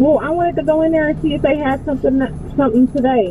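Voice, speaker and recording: A woman speaks with a high pitch. Music plays in the background, and the sound is dry with no echo. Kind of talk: casual phone chat. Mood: casual, offhand. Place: shop.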